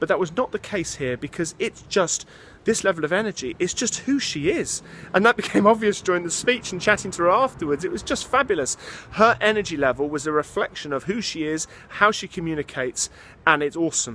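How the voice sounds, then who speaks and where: A man's high voice with lively intonation at a fairly quick pace, over noticeable background noise. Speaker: public speaking coach. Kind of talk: casual talk to camera.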